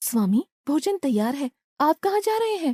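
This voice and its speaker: A female-sounding cartoonish character voice, high in pitch with very wide pitch swings, moves at a moderate pace. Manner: sweet, respectful.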